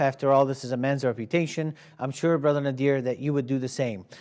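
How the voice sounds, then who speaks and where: A man speaks with an Arabic accent at a very fast pace. His pitch is fairly high. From Iraq. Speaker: TV show host. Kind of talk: moderated debate.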